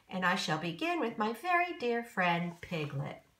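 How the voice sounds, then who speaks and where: A woman uses a put-on character voice of medium pitch. She moves at a moderate pace with very wide pitch swings. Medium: read story. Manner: slow, simple and good-natured.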